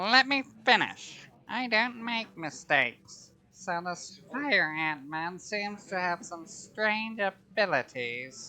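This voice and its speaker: In a put-on character voice, a female-sounding speaker talks very slowly at a medium pitch. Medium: audio drama. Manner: cold, imperious.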